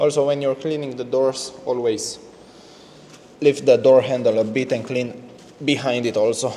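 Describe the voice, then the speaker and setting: A man speaks with a non-native accent in a monotone, flat delivery, leaving long, frequent pauses. Noticeable background noise sits behind him. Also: medium pitch for a man, moderate pace. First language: not English. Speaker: car detailer. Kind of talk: tutorial. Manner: halting.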